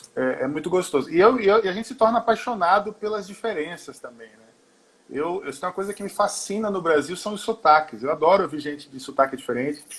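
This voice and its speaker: Speaking at a very fast pace, a man uses lively intonation and a high pitch. His loudness rises and falls in big swings. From Brazil, mixed (Pernambuco, Manaus, Porto Alegre). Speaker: singer and musician. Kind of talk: interview. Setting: remote call from home.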